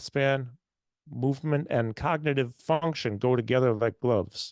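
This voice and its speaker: Here is a normal speaking voice with ordinary pitch variation at a moderate pace. The background is quiet. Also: man. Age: 60s. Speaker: health and fitness doctor, radio host. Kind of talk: webinar presentation. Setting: online webinar.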